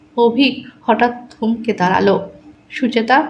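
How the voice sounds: The clip is in a natural reading voice.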